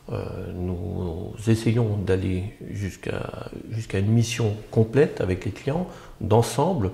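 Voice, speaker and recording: A man at a very slow pace with lively intonation. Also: fairly low pitch for a man. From Belgium, Brussels. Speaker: architect, agency founder. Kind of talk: interview. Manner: halting, many hesitations.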